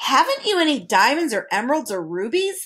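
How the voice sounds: A woman's put-on character voice, high-pitched with big pitch swings, a fairly quick pace and a slightly husky edge.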